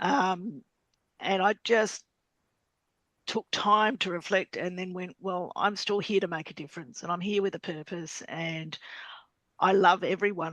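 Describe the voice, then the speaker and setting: Recorded in a dry, close sound with no echo, a woman with an Australian accent speaks at a medium pitch with ordinary pitch variation. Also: big swings in loudness. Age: 50s. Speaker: business community member. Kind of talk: online group discussion. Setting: video call.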